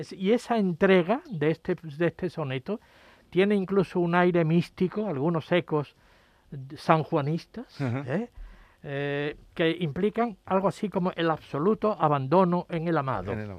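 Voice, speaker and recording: Recorded with a dry, close sound and no echo, a man talks at a moderate pace and high pitch with ordinary pitch variation. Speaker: academic. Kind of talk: radio panel discussion.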